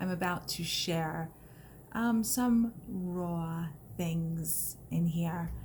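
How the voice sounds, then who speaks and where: A woman's somewhat breathy, fairly low-pitched voice with an American accent, at a very slow pace. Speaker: personal growth vlogger. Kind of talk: personal vlog testimony. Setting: recorded video, not live. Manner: emotional, voice may crack; halting, many fillers.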